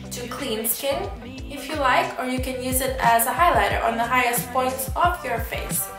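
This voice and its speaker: Against clear music in the background and audible room echo, a woman speaks at a moderate pace. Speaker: beauty vlogger. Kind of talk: casual vlog chat. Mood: enthusiastic, chatty. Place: home room. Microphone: camera far.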